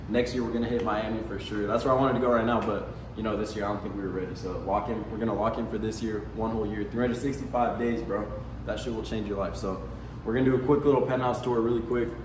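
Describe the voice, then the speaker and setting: Speaking at a very fast pace, a man keeps a fairly even intonation. Audible room echo and noticeable background noise surround him. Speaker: vlogger. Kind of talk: casual vlog chat. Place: home room. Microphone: camera far.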